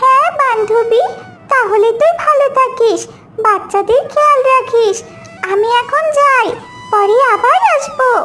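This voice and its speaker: Over clear background music, a woman does a cartoonish character voice at an extremely high pitch and a fairly slow pace. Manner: warm, friendly.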